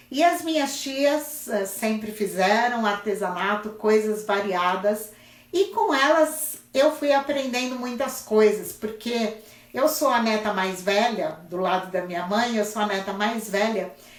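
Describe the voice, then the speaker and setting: A woman's fairly high voice carries lively intonation amid noticeable background noise and audible room echo. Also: fairly slow pace. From Brazil, São Paulo city. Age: 60s. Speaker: craft teacher. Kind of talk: casual live-stream chat. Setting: Instagram live stream.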